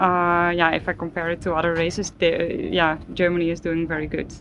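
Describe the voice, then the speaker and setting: In a monotone, flat intonation, the words come at a moderate pace. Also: woman. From Norway. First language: Norwegian (speaking German). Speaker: professional cyclist. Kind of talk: interview.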